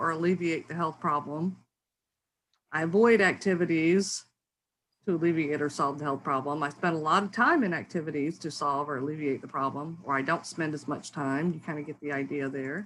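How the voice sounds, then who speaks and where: A woman with a fairly low pitch talks at a fairly quick pace on a very clean recording with a silent background. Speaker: academic researcher. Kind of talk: lecture. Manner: fast; hesitant with fillers.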